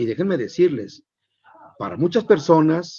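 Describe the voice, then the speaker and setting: The speaker moves at a moderate pace, with very wide pitch swings. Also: man. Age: 70s. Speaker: journalist and news anchor. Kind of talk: interview talk. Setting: live stream.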